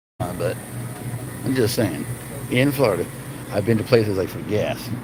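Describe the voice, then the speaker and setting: A man with an American accent speaks with ordinary pitch variation, amid audible room echo and noticeable background noise. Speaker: vlogger. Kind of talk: live stream store walkthrough. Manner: casual, rambling speech.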